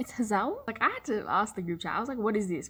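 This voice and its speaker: Speaking very fast in an Australian accent, a woman uses lively intonation at a fairly high pitch. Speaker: book vlogger. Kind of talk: casual chat. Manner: fast, animated; quiet.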